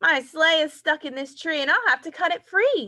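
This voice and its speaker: A squeaky, put-on character voice from a woman, extremely high in pitch, with lively intonation. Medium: read story. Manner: warm, kindly.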